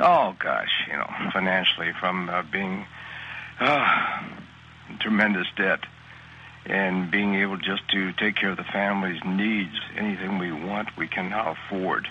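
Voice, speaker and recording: A man speaks at a fairly slow pace, pitched fairly low, with fairly even intonation. Noticeable background noise sits behind him. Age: 60s. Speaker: network marketer. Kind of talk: testimonial interview. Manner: halting, many fillers.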